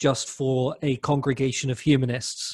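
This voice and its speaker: A man speaks with a London accent at a fairly high pitch. His voice is somewhat breathy. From London, England. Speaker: humanist clergy leader. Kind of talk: lecture.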